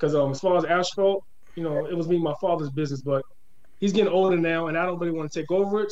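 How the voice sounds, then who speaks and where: A high-pitched man with an American accent talks at a very fast pace with fairly even intonation. Audible room echo surrounds his voice. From Boston. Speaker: nonprofit founder. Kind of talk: casual chat.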